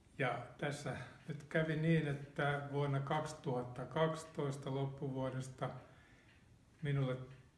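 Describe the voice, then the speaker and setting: A man speaks very slowly in a monotone, flat intonation at a fairly high pitch. There is audible room echo. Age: 70s. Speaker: retired automotive engineer, cancer patient. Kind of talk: interview testimony. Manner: halting, with repetitions and fillers. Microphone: poorly audible audio track.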